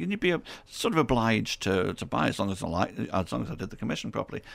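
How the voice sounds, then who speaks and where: A man with a Potteries accent at a very fast pace, on a very clean recording with a silent background. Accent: Potteries (Stoke) English. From Stoke-on-Trent, England. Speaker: artist. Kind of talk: radio interview.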